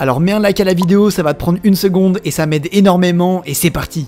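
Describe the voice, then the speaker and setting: This man's high voice races along at a very fast pace while noticeable noise runs in the background. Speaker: fitness youtuber. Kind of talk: vlog. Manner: animated.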